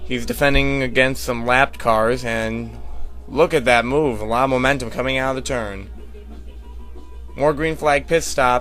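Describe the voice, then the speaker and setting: A man's speech full of long, frequent pauses, with music in the background. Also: moderate pace. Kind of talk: amateur race commentary over video game footage.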